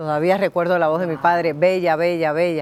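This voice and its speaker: A woman's voice, fairly low in pitch, on a very clean recording with a silent background. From Cuba. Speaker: writer and former TV presenter. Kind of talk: interview storytelling.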